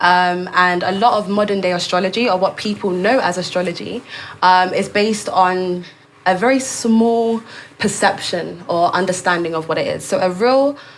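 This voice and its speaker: A woman with a London accent speaks at a medium pitch with fairly even intonation. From London, England, Caribbean heritage. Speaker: astrologer. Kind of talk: interview.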